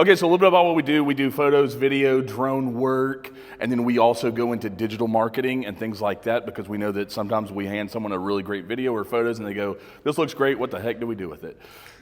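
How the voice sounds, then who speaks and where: The man talks at a very fast pace. His pitch sits in the medium range, with ordinary variation. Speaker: media company owner and presenter. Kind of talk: business presentation to audience. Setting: room with live audience, no microphone. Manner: loud; casual, joking.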